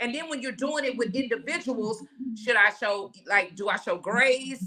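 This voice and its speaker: Against noticeable background noise, a woman with a high pitch speaks in an animated tone at a moderate pace, with ordinary pitch variation. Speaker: podcast host. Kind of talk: casual discussion. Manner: loud.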